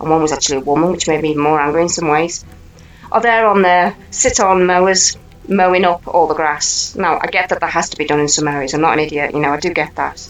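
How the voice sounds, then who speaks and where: Music plays behind a woman with an English accent. She speaks very fast in a fairly low voice with ordinary pitch variation. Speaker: channel host, commentator. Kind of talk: rant. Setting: indoors at home. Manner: animated.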